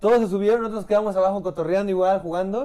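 The man's dark, mellow tone rushes by at a very fast pace. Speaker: podcast co-host. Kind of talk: casual chat.

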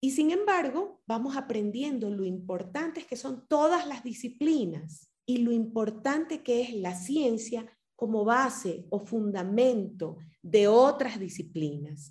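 Speaking at a very slow pace, a woman with a fairly high voice makes very wide pitch swings and big swings in loudness. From Ecuador. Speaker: podcast host. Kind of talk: interview.

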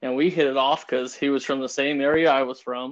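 The speaker has an American accent and keeps a moderate pace over a quiet background. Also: man. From Pueblo, Colorado. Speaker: hunting guide. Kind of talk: casual chat.

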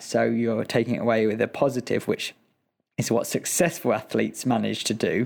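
A man's medium-pitched voice with a British accent, fairly even intonation and a moderate pace. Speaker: Olympic athlete. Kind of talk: interview.

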